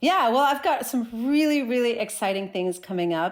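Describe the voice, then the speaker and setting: With an American accent, a woman talks in an animated tone with lively intonation on a very clean recording with a silent background. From US Northeast, New Jersey. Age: 40s. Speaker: skateboarder and social media creator. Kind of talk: interview conversation.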